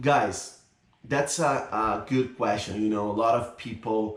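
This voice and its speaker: A medium-pitched man with a Brazilian accent and ordinary pitch variation, in audible room echo. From Brazil, São Paulo. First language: Portuguese. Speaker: YouTuber. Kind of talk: casual vlog talk to camera.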